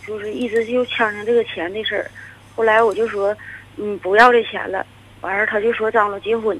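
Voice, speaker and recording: An unremarkable speaking voice from a woman, fairly high in pitch, at a fairly quick pace with fairly even intonation. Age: 30s. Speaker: caller. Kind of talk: phone-in confession. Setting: phone call.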